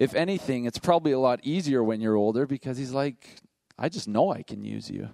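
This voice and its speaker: The voice has a dark, mellow tone and ordinary pitch variation, moving at a fairly quick pace in a dry, close sound with no echo. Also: man, medium pitch for a man. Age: 50s. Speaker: pastor. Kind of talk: sermon.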